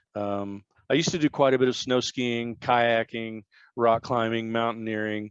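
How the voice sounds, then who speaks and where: The man's medium-pitched voice comes through dry and close with no echo, over a quiet background, at a moderate pace with fairly even intonation. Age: 50s. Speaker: electronic musician. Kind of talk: interview. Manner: halting.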